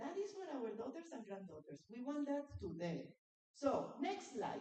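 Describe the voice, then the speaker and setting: A woman's high-pitched voice at a fairly slow pace, with very wide pitch swings. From Latin America. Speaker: conference speaker on women in industry. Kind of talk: conference presentation with slides. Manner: animated.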